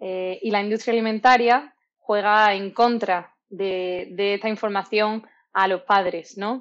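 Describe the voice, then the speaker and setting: A woman with a medium pitch speaks at a very slow pace with fairly even intonation. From southern Spain, Málaga. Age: 20s. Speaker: dietitian-nutritionist. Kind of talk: interview. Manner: hesitant, many fillers.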